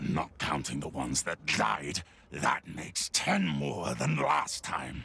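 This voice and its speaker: Using a put-on character voice, a man growls at a very deep, low pitch and a fairly slow pace. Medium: game stream. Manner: harsh, barking.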